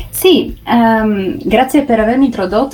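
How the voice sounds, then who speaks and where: Somewhat breathy, a woman speaks at a moderate pace and a fairly high pitch, with ordinary pitch variation. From Carso near Trieste, Friuli Venezia Giulia, Italy. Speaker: food photographer and pastry maker, tourism ambassador. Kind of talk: remote radio interview. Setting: remote link. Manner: halting, with many fillers and repetitions.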